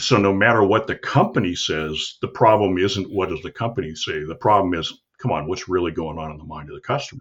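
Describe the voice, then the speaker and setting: A man with a very deep, low voice talks very fast with hardly any pauses, his lively intonation, somewhat breathy sound and big swings in loudness all standing out. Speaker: marketing podcast host. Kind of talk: casual conversation about marketing.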